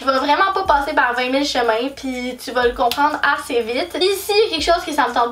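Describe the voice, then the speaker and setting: With lively intonation, a woman speaks at a high pitch and a fairly quick pace. Music plays in the background. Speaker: YouTuber. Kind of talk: casual vlog talk. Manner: loud; animated.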